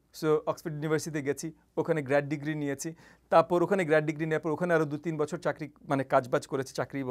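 The man's voice sits fairly high in pitch. Behind him, the background is quiet. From Bangladesh. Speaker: politician and university lecturer; politician, university teacher. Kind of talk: interview. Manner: halting. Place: studio. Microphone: lapel.

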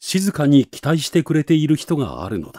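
A man's dark, mellow tone with vocal fry at a fairly slow pace, dry and close with no echo, on a very clean recording with a silent background. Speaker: narrator. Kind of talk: literary reading.

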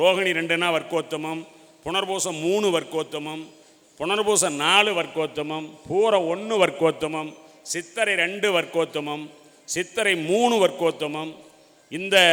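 Keeping his intonation fairly even, a man speaks in a high pitch. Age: 60s. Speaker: astrologer. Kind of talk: debate speech.

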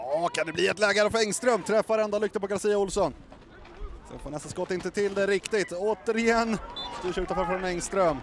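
Amid crowd noise in the background, a man talks in an animated tone at a fairly quick pace, his pitch high with ordinary variation. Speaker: football commentator. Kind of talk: live football commentary. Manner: fast, animated, excitable; breathless, rapid play-by-play.

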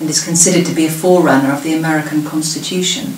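Talking at a very fast pace in a southern English accent, a woman with a very deep, low pitch keeps a fairly even intonation amid light background noise and audible room echo. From southern England. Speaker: local history presenter. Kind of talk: prepared talk. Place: home room. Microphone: webcam.

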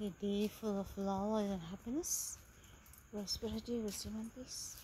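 A woman at a fairly slow pace with fairly even intonation, in a dry sound with no echo and light background noise. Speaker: vlogger. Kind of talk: casual vlog chat. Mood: cheerful, festive. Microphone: phone near.

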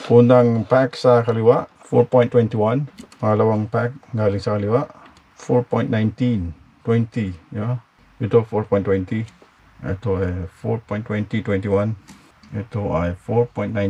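Speaking at a very slow pace with long, frequent pauses, a man keeps his intonation fairly even. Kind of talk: casual tutorial vlog in Tagalog-English mix. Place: garage. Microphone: phone near.

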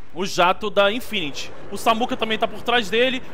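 A man's raised, projected voice, bright and sharp in tone. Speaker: game commentator. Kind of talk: sports commentary. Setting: online stream. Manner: fast, excitable play-by-play, exclaiming at big shots; informal, chatty, talking straight to the audience.

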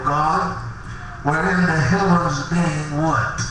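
A man's fairly high voice at a fairly slow pace, with ordinary pitch variation, strong room echo and noticeable background noise. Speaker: Apostolic preacher. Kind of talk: tent revival sermon. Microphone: handheld.

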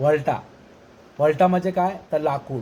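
The speaker is a man with a fairly high pitch. His voice is somewhat breathy, with fairly even intonation. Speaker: vlogger teaching regional dialect words. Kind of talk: casual talk to camera.

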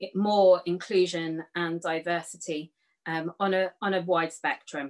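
Against a quiet background, a woman speaks at a fairly low pitch and a very slow pace. Her intonation is monotone and flat. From southern England. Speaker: youth worker; panelist. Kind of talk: panel discussion. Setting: video call. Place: home room. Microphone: webcam.

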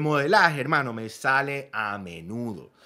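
A man speaks at a fairly slow pace in an animated tone. His tone is bright and sharp. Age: 30s. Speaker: fitness coach. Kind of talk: vlog commentary. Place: home room.

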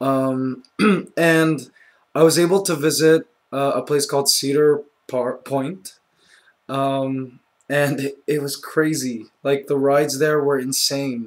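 A man speaks very slowly with fairly even intonation and a fairly high pitch. He takes long, frequent pauses. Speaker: YouTuber. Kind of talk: casual vlog.

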